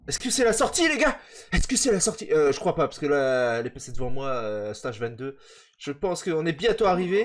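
This man's fairly high voice swings very widely in pitch as he talks at a fairly quick pace. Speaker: gaming youtuber. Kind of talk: let's play commentary. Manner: animated.

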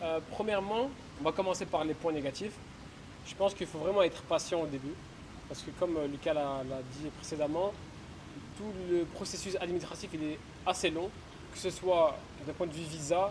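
Amid noticeable background noise, a man with a high pitch and ordinary pitch variation speaks at a moderate pace, leaving long, frequent pauses. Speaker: exchange student. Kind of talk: casual chat.

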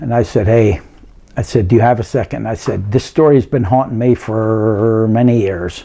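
The background is quiet as a man talks. He keeps a moderate pace and ordinary pitch variation. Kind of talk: interview answer. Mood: reflective, sometimes emotional. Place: home room.

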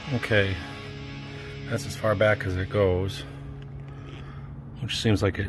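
Music plays behind a man with a fairly low pitch. He talks at a fairly slow pace with ordinary pitch variation. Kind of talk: tutorial. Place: garage. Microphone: phone near.

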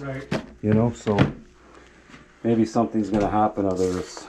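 The pace of speech is fairly quick. Background noise is noticeable. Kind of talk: casual talk with a tenant. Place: kitchen. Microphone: phone near.

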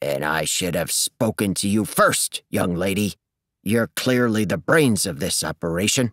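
A man's put-on character voice, rumbling and growling, fairly low in pitch, at a moderate pace. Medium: read story. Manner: grumbling, condescending.

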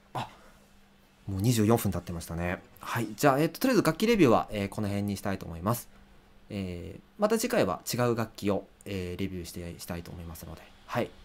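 A man talks at a very fast pace and a fairly low pitch. His loudness swings widely while his pitch varies in an ordinary way. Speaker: musician and livestreamer; livestreamer. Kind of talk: casual livestream talk. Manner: many filler hesitations. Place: home room.

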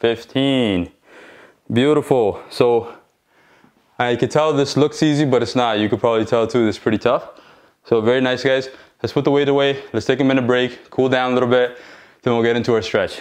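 Against a quiet background, a man talks at a fairly quick pace, keeping his intonation fairly even and his loudness very even. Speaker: fitness instructor. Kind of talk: workout instruction. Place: empty room.

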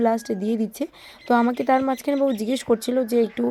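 This woman's voice is high-pitched with a dark, mellow tone and fairly even intonation. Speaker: village vlogger. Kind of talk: vlog narration. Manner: casual, chatty.

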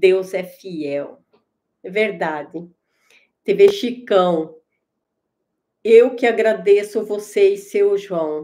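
A woman with a dark, mellow tone speaks at a very slow pace, with ordinary pitch variation, big swings in loudness, and long, frequent pauses. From Brazil, Santa Catarina (Joinville). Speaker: YouTuber doing live stream. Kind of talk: live stream chatting with viewers, reading comments. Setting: live stream at computer. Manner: halting, with many hesitations. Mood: warm, grateful. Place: home room. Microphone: webcam.

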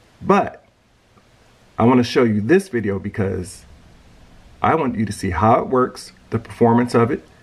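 Speaking at a moderate pace and medium pitch, a man with a somewhat breathy voice uses lively intonation and makes long, frequent pauses. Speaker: grilling video creator. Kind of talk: casual video intro. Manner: animated.

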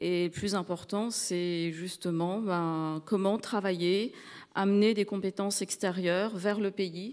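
Against a quiet background, a woman speaks at a very slow pace with fairly even intonation. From Madagascar. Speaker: tech company director; panelist. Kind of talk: panel discussion. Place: stage. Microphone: handheld.

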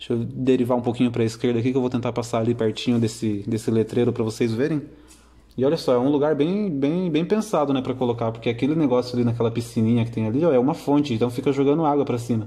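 Very fast and at very even loudness, a man talks in a dark, mellow tone with ordinary pitch variation. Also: medium pitch for a man. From São Paulo interior, Ibiúna. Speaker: drone videographer. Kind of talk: live narration of drone flight. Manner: casual, conversational.

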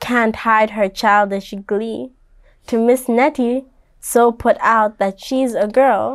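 Simply a natural reading voice

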